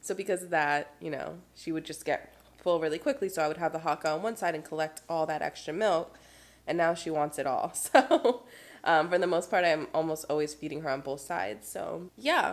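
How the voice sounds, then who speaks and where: The speaker is a woman. She keeps a moderate pace. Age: 20s. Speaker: mom vlogger; new mother vlogger. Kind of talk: casual vlog talk to camera. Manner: rambling, chatty. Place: home room. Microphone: phone near.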